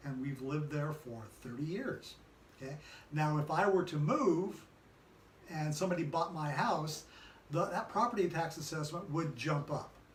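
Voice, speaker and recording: A man with an American accent, moderate pace, long, frequent pauses, and ordinary pitch variation, amid audible room echo and noticeable background noise. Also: fairly high pitch for a man. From California. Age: 60s. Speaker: political commentary show host. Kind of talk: casual political discussion. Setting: filmed in a design and events venue.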